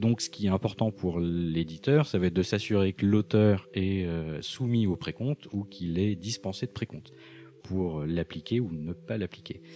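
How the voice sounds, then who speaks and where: A man's dark, mellow voice sits at a very deep, low pitch and moves at a fairly slow pace with ordinary pitch variation. The recording is very clean, against a silent background. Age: 40s. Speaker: accountant. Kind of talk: interview.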